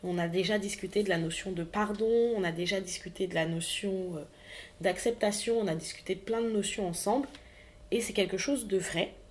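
A woman's mid-range voice holds fairly level intonation at a moderate tempo. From French Antilles. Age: 20s. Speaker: podcaster. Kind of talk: personal testimony monologue.

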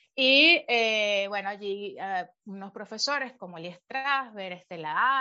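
Over a quiet background, a woman with a Venezuelan accent speaks in a bright, sharp tone with ordinary pitch variation. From Venezuela (Caracas, Valencia). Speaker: actress, director and acting coach. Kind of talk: interview. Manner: halting, with many repetitions.

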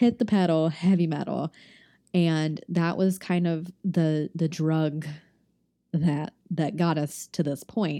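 At a very slow pace, a woman talks with a fairly low pitch, fairly even intonation and a dark, mellow tone. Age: 20s. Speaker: solo podcast host. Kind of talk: casual monologue. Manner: rambling, chatty.

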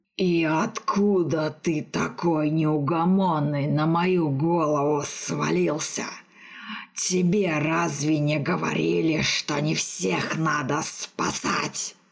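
A put-on character voice at a middle pitch comes through fairly slowly, with hissing. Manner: displeased, hissing.

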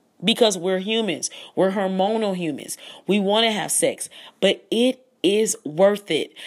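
Fairly slowly, a woman speaks in an animated tone with a medium pitch and ordinary pitch variation. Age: 30s. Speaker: podcast host.

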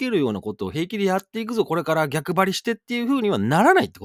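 Speaking at a very fast pace, a man is heard on a very clean recording with a silent background and a dry, close sound free of echo. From western Japan. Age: 40s. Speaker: radio DJ. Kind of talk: solo radio talk. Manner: casual, chatty.

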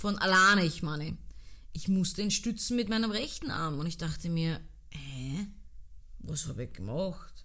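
A woman's fairly low, fry-edged voice in a Viennese accent, bright and sharp in tone, animated, with lively intonation, a moderate pace, long and frequent pauses, and audible room echo. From Austria, Vienna (Donaustadt). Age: 30s. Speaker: podcast host, dancer. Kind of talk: casual solo podcast monologue.

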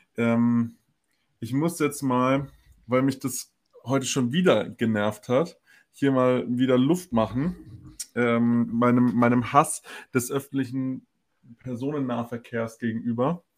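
At a very slow pace with long, frequent pauses, a man with a medium pitch speaks in fairly even intonation. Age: 20s. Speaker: podcast co-host. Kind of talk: casual chat.

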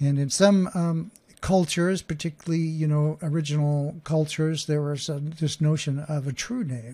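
A man with an American accent has a dark, mellow tone and a fairly high pitch. He keeps a moderate pace with fairly even intonation. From Oklahoma. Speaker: podcast host and communication coach. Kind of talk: solo podcast talk. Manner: halting.

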